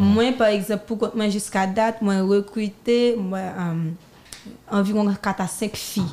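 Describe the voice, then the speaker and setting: Here is a woman with a normal speaking voice. Her pitch is medium and her intonation fairly even. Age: 20s. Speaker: singer and designer. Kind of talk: interview. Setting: studio.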